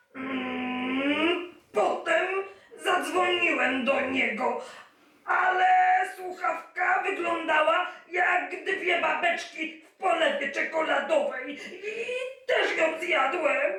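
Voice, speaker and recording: This put-on character voice has an extremely high pitch and a very slow pace. There is slight echo. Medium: read story.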